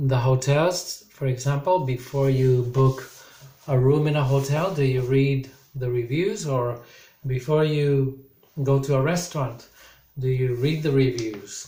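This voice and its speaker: Speaking at a fairly slow pace, a man with a medium pitch sounds somewhat breathy, with fairly even intonation and a dark, mellow tone. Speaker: English teacher. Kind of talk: recorded online lesson.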